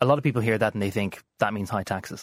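A man with an Irish accent and a fairly low pitch talks at a very fast pace with ordinary pitch variation on a very clean recording with a silent background. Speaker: radio journalist. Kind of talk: political interview.

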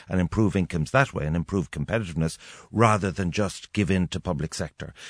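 With an Irish accent, a man speaks very fast in a very deep, low pitch with ordinary pitch variation, the sound dry and close with no echo over a quiet background. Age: 50s. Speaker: radio host. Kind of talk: radio interview.

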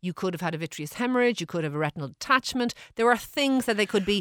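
In a very clean recording with a silent background and a dry, close sound with no echo, a woman talks at a very fast pace with very wide pitch swings. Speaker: GP answering listener health queries. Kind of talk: radio health advice segment.

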